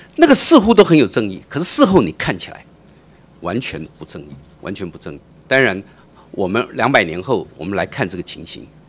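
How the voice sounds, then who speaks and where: A man's voice with big swings in loudness and long, frequent pauses. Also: fairly quick pace. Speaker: think tank adviser. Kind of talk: testimony at public hearing.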